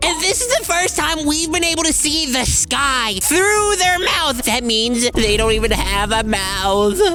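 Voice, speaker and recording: A female-sounding cartoonish character voice, high in pitch, at a moderate pace over clear background noise. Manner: jokey, offhand.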